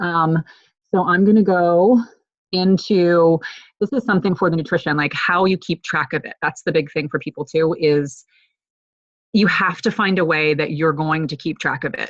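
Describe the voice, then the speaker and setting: Using a plain, everyday voice, a woman speaks at a moderate pace with a fairly low pitch and ordinary pitch variation. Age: 40s. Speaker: fitness coach. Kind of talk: online group call tutorial. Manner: filler-heavy, casual.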